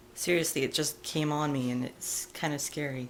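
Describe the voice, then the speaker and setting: Very deep, low pitch from a woman, the intonation fairly even. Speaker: parent. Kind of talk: casual talk to camera, personal video diary.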